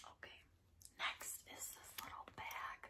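A woman is whispering. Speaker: ASMR creator. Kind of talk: ASMR casual talk. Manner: whispered. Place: home room.

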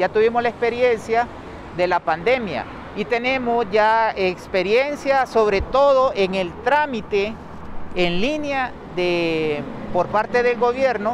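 This man talks at a very slow pace with a high pitch and ordinary pitch variation. The sound is dry with no echo, and there is noticeable background noise. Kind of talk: press statement answering reporters. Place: street. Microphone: handheld.

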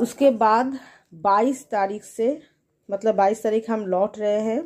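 A woman speaks with a dark, mellow tone.

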